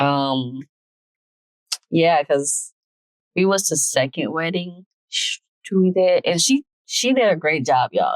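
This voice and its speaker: A woman speaking at a fairly slow pace. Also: dry, close sound with no echo. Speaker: vlogger, newlywed podcast co-host. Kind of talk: casual chat. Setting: recording out and about in a store. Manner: loud.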